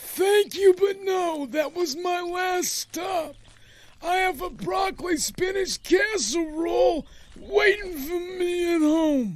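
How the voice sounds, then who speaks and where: This man uses a put-on character voice pitched extremely high. He talks at a fairly slow pace. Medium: audio drama. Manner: polite, mild.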